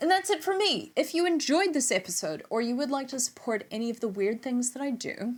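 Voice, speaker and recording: Talking at a fairly quick pace with hardly any pauses, a woman with an American accent uses a high pitch and very wide pitch swings. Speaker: music YouTuber reviewing records. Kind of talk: casual vlog outro and bloopers.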